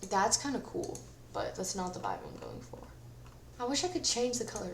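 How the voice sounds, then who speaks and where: Amid noticeable background noise and audible room echo, a woman talks at a fairly quick pace in a fairly high pitch, with very wide pitch swings and big swings in loudness. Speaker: gaming YouTuber. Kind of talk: gameplay commentary. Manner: casual, chatty.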